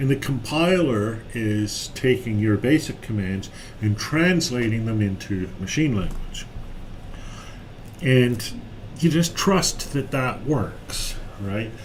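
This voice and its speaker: The speaker talks at a very slow pace with lively intonation and long, frequent pauses. Audible room echo and noticeable background noise are heard. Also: man, medium pitch for a man. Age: 60s. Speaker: software developer live-streaming tutorials. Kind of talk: live-stream coding chat. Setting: office, live stream. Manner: halting, many fillers.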